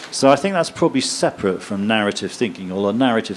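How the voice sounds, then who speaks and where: With lively intonation, a man speaks against noticeable background noise. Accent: English. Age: 60s. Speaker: professor. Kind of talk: lecture Q&A. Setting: stage with audience.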